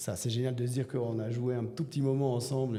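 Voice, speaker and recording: This man speaks at a medium pitch. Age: 40s. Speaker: teacher and bodybuilder. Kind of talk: podcast interview. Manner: hesitant, many fillers.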